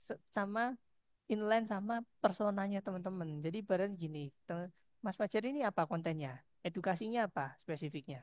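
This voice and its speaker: Recorded very cleanly with a silent background and a dry, close sound with no echo, a woman speaks at medium pitch and a fairly quick pace with lively intonation. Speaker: lecturer. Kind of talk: lecture. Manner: soft-spoken. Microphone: headset, sound too quiet.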